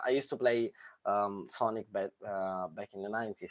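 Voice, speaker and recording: At a moderate pace, a man talks with a strong Sicilian accent. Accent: strong Sicilian Italian. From Sicily, Italy. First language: Italian. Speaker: filmmaker. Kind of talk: casual chat. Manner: halting, many fillers.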